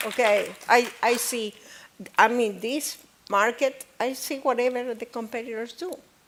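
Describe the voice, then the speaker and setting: A woman with a non-native accent, fairly slow, fairly even intonation and big swings in loudness. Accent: non-native accent in every language. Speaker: business owner. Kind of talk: panel discussion. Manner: halting, frequent okay fillers.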